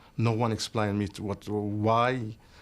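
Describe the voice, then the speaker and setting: In a very clean recording with a silent background, a man speaks with an Arabic accent. His pitch is fairly low and his intonation fairly even. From Algeria. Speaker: refugee and business owner. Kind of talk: interview. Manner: halting.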